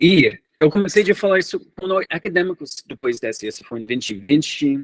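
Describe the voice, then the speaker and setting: At a moderate speed, this man's voice sounds dry and close, with no echo. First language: English (speaking Portuguese). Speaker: researcher. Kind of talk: lecture. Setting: seminar. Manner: halting.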